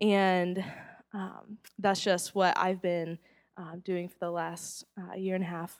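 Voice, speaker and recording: On a very clean recording with a silent background, a woman with an American accent speaks at a very slow pace in a flat monotone, with big swings in loudness. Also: medium pitch for a woman. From US South, Charlotte, North Carolina. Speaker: youth ministry director. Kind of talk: testimony.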